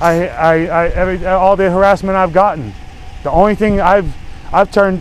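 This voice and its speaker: Loud and high-pitched, a man speaks at a moderate pace with fairly even intonation over noticeable background noise. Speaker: citizen activist filming confrontation with police. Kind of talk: heated argument with police officer. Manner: stammering, repeating words.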